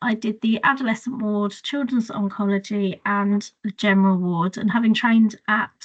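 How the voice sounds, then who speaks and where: A woman with a southern English accent, a fairly high pitch, a moderate pace and fairly even intonation. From England, Hertfordshire. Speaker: children's nurse. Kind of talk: webinar talk about career journey. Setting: video call webinar.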